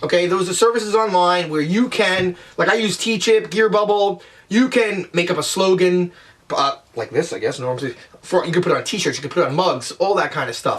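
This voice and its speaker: The man sounds energetic. He moves at a fairly quick pace. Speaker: online business vlogger. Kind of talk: tutorial. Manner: fast; casual, energetic.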